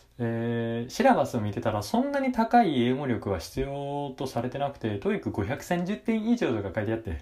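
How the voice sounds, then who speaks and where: The voice moves through very wide pitch swings at a moderate pace. It has hardly any pauses. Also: man, medium pitch for a man. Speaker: university student podcaster. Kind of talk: casual monologue. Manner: hesitant with many fillers.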